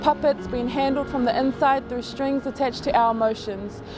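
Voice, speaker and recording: A woman talks at a fairly quick pace in a high voice with ordinary pitch variation, over clear background music, in a dry sound with no echo. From New Zealand. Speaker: spoken word poet. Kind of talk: spoken word poetry. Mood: earnest, reflective. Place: beach.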